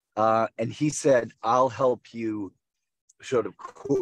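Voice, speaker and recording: A man talks with ordinary pitch variation in a dry sound with no echo. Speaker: guest. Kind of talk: interview answer. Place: car. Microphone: video call.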